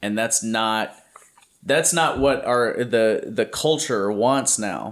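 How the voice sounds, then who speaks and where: A man speaks with an American accent in a plain, everyday voice. The recording is very clean, with a silent background. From Louisiana, US South. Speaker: podcast host, magician. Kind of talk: casual chat.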